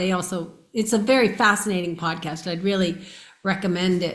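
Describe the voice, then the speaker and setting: With fairly even intonation, a woman speaks amid audible room echo. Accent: American. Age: 60s. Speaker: near-death experiencer. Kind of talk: interview.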